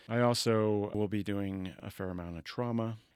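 A man speaks with a General American accent on a very clean recording with a silent background. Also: dry, close sound with no echo. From Colorado and Northern California. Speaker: orthopedic surgeon. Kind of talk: interview. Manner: halting, many fillers.

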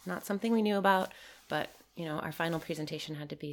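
A woman with a Midwestern American accent speaks at a very fast pace. Her pitch is very deep and low. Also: very clean recording, silent background. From Michigan, US. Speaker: permaculture teacher and designer. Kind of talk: casual conversation.

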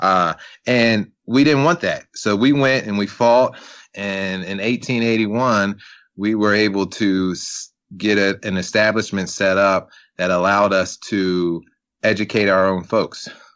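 An unremarkable speaking voice with an American accent, a fairly slow pace and ordinary pitch variation. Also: man, fairly low pitch for a man. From US Mid-Atlantic, Eastern Shore of Maryland. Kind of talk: interview.

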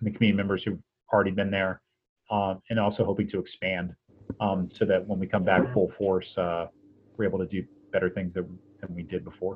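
This man's pitch sits fairly low, and he speaks with an American accent. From US East Coast. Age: 40s. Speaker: essayist and arts administrator. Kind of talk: interview conversation.

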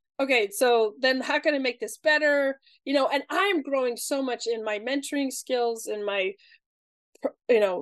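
Moderate pace and ordinary pitch variation, with a dry, close sound, no echo and a quiet background. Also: woman. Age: 30s. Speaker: podcast host. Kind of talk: interview.

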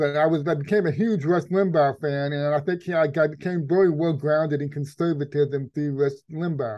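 With an American accent and a plain, everyday voice, a man speaks at a fairly high pitch with hardly any pauses. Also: fairly even intonation, moderate pace. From Texas. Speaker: investigative journalist. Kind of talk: interview conversation.

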